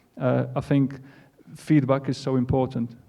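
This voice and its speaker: In a Polish accent, a man speaks at a moderate pace and a medium pitch. His intonation stays monotone and flat. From Poland. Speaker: football coach. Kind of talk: panel Q&A.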